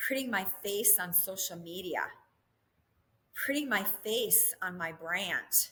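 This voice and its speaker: With a Minnesota accent and an animated tone, a woman with medium pitch and ordinary pitch variation speaks at a fairly slow pace with long, frequent pauses. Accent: northern US (Minnesota). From Minnesota (southeastern, small town). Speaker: real estate developer and company CEO. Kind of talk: podcast interview.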